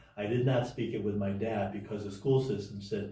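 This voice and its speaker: A man with a Cantonese accent speaks at a fairly low pitch in a dark, mellow, somewhat breathy tone. Audible room echo surrounds his voice. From Hong Kong and United States. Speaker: realtor. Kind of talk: interview. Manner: halting, many repeats and fillers.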